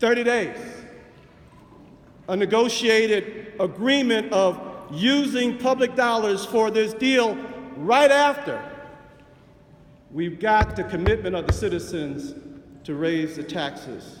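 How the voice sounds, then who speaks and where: A loud, high-pitched male voice with lively intonation, a very slow pace, and long, frequent pauses, amid noticeable background noise and audible room echo. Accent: American. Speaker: city councilman. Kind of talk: council floor speech. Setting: city council chamber. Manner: loud, forceful.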